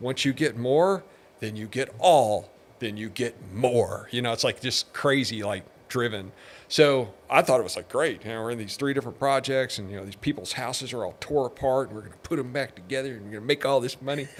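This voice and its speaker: A man talks in a normal speaking voice at a medium pitch, with ordinary pitch variation. His pace is fairly quick, and his loudness swings a lot. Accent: American. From Texas, Pasadena. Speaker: businessman. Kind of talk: interview.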